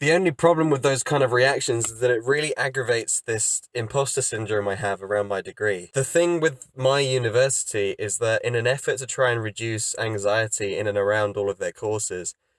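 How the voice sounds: Speaking at a fairly quick pace, a man leaves few pauses. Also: medium pitch for a man, ordinary pitch variation.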